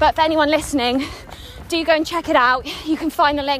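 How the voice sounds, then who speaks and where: There is noticeable background noise behind the speaker. A woman talks with ordinary pitch variation. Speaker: podcast host and personal trainer. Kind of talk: casual interview while jogging. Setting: outdoors in a park.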